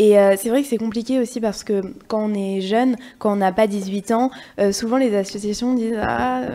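At a moderate pace, a woman speaks in an unremarkable speaking voice, fairly high in pitch, with fairly even intonation. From Limoges, France. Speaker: student activist. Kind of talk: casual chat.

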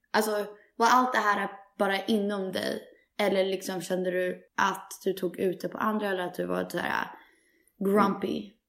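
Speaking at a moderate pace, a woman holds a medium pitch in a monotone, flat intonation. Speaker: podcast host. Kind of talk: casual chat.

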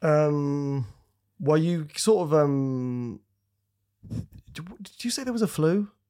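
A man with a Yorkshire accent speaks at a very slow pace in a fairly high pitch with a dark, mellow tone, lively intonation, big swings in loudness and long, frequent pauses. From Scarborough, Yorkshire, northern England. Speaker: comedian. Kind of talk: casual chat.

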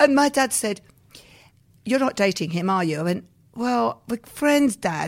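In a very clean recording with a silent background, a woman with an English accent and a fairly high pitch speaks with very wide pitch swings. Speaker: pantomime producer and performer. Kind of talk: interview.

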